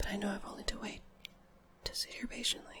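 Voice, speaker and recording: A woman whispering at a fairly quick pace over noticeable background noise. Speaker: ASMR creator. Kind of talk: poetry reading.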